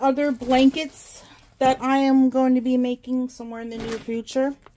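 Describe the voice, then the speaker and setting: At a moderate pace, a woman talks with a high pitch. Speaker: crafting YouTuber. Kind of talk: casual haul video talk to camera. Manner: casual, chatty with fillers. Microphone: phone near.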